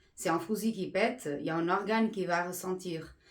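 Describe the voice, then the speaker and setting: In a Portuguese accent, the speaker goes at a fairly slow pace with ordinary pitch variation. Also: woman. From Portugal. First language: Portuguese (speaking French). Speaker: energy healer. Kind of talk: explanatory monologue. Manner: halting with fillers.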